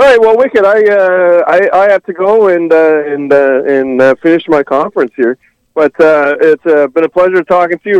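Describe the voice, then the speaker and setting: A normal speaking voice from a man, fairly high in pitch with ordinary pitch variation, at a moderate pace in a dry, close sound with no echo. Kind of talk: casual banter on a phone call.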